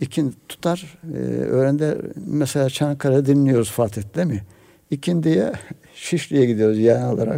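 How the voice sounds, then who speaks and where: Against noticeable background noise, a man with a medium pitch speaks at a moderate pace with ordinary pitch variation. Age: 70s. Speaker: retired imam and author. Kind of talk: radio interview. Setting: radio studio.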